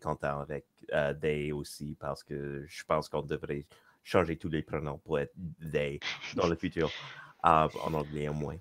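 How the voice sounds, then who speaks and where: A man with an English accent has a very deep, low voice. The sound is dry and close, with no echo. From western Canada, Victoria. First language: English (speaking French). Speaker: panel guest, game designer. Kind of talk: panel discussion. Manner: halting.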